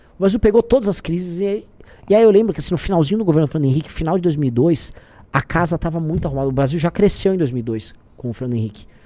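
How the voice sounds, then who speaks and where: A man talks at a very fast pace with a high pitch. His tone is dark and mellow, and his intonation lively. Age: 30s. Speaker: political commentator. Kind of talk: casual political chat. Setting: live stream.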